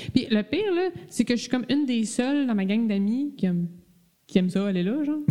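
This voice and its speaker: Here a woman with a Quebec accent uses an animated tone and a fairly high pitch. Her pace is fairly quick and her intonation lively. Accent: Québécois French. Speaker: podcast host. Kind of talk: casual chat.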